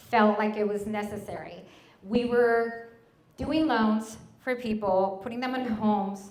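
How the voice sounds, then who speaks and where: Audible room echo surrounds the speaker. The voice carries a Spanish accent and fairly even intonation. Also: woman. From Mexico. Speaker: mortgage broker and business owner. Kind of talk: presentation to an audience.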